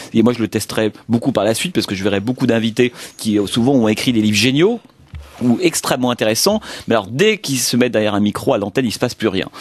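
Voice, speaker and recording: A man's voice sits at a medium pitch and shows ordinary pitch variation while he rattles along at a very fast pace. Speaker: film critic and radio columnist. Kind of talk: interview. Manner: hesitant, many fillers.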